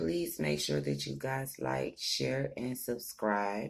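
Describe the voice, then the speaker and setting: At a fairly slow pace, the speaker talks in a soft-spoken way. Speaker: tarot reader. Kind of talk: tarot reading.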